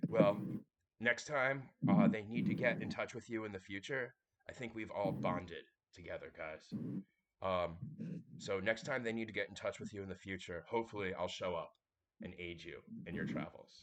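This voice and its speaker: A raspy, put-on character voice from a man, medium in pitch, at a moderate pace with long, frequent pauses. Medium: actual play. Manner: friendly, casual.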